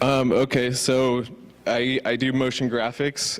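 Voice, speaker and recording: The speaker is a man. He talks with a Californian accent. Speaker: motion graphics designer. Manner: stuttering; casual, filler-heavy.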